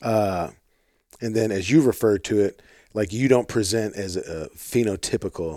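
In an American accent, a man with an unremarkable speaking voice talks at a moderate pace and a fairly low pitch with ordinary pitch variation, recorded very cleanly against a silent background with a dry, close sound and no echo. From US Midwest, St. Louis, Missouri. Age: 30s. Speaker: podcast host. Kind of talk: casual interview conversation. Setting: in the guest's house in Oklahoma.

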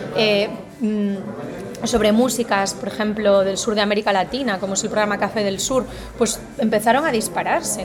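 Fairly high woman's voice in a Galician accent, moderate pace and fairly even intonation, with noticeable background noise. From Spain, Galicia. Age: 40s. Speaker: political communication academic. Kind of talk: interview.

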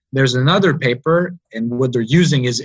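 Somewhat breathy, a man talks at a fairly quick pace in a medium pitch with ordinary pitch variation, the sound dry and close with no echo. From Montreal, Quebec. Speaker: PhD student in engineering. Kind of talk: interview. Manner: halting.

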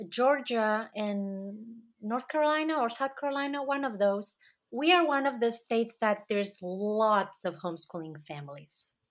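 A woman with a Catalan accent, a fairly high pitch and lively intonation, hardly any pauses, on a very clean recording with a silent background. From Catalonia, Spain. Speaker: author and homeschooling mother. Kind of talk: interview.

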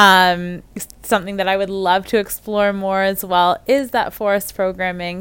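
In a very clean recording with a silent background, a woman with a medium pitch speaks at a moderate pace with fairly even intonation. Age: 30s. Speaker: occupational therapist, podcast host. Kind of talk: solo podcast introduction.

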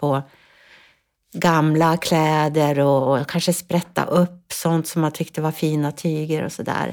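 In a very clean recording with a silent background, a woman speaks fairly slowly with a very deep, low pitch. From northern Sweden, Ångermanland. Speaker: influencer and business consultant. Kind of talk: casual chat. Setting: studio. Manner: halting.

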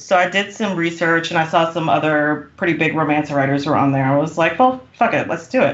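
With a plain, everyday voice, a woman speaks at a fairly low pitch and a fairly quick pace, with ordinary pitch variation and hardly any pauses. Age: 40s. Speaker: romance author. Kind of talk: casual chat. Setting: recording in person.

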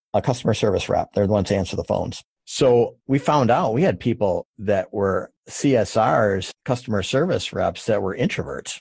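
A man with a medium pitch talks with hardly any pauses in a somewhat breathy voice. The sound is dry and close with no echo, over a quiet background. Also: ordinary pitch variation, moderate pace. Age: 50s. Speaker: moving company founder and executive. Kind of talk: interview. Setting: remote interview from his office.

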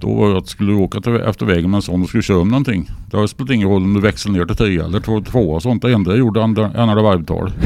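A man talks at a very fast pace with hardly any pauses. His loudness stays very even throughout. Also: fairly low pitch for a man, ordinary pitch variation. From Sweden, northern Värmland (Torsby). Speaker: car and rock enthusiast, radio presenter. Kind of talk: casual interview. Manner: halting.

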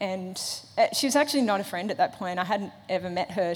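The speaker has an Australian accent and moves at a fairly quick pace. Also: woman. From Australia, Sydney. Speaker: Olympic runner. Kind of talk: testimony. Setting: church stage with audience.

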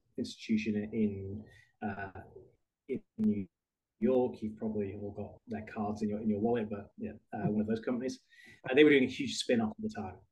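This man, speaking with a British accent, has a fairly low pitch, a moderate pace and fairly even intonation. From United Kingdom. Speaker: HR benefits executive. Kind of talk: interview.

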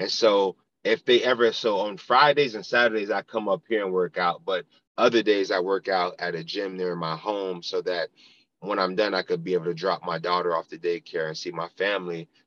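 In an unremarkable speaking voice, a man with an American accent talks at a fairly quick pace and fairly low pitch, the sound dry and close with no echo and the background quiet. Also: ordinary pitch variation. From South Florida (Pompano Beach). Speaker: football chaplain, former pro football player. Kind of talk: casual interview, testimony.

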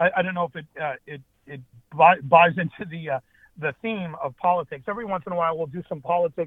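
A man with an American accent, high pitch, ordinary pitch variation and a fairly quick pace. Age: 50s. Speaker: political party chair. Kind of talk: interview. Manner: halting, with repetitions.

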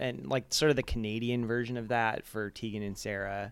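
At a moderate pace, a man with a General American accent talks in an ordinary speaking voice on a very clean recording with a silent background. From Arizona suburb. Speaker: music video director. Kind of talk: casual interview. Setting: home kitchen, handheld mic.

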